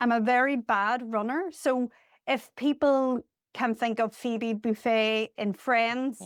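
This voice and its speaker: In a Northern Irish accent, a woman speaks at a very slow pace with a high pitch, fairly even intonation and very even loudness. The recording is very clean with a silent background and a dry, close sound with no echo. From Northern Ireland. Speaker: charity deputy CEO. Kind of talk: podcast interview.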